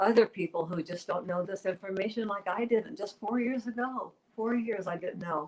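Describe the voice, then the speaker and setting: Noticeable background noise sits behind a woman whose voice is at a medium pitch. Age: 70s. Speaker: weight loss success story guest. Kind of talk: interview testimony. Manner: animated.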